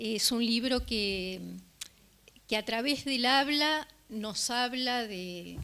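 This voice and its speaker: A woman speaks at a very slow pace with a Rioplatense accent, her fairly high voice bright and sharp, with ordinary pitch variation. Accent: Rioplatense (voseo, yeísmo). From Uruguay (Río de la Plata). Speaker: journalist, book presenter. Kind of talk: public talk. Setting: live event with audience. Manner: hesitant, many fillers.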